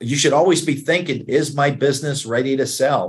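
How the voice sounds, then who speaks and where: A man uses an ordinary speaking voice, moving at a moderate pace with ordinary pitch variation. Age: 60s. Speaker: investment banker, business broker. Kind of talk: interview.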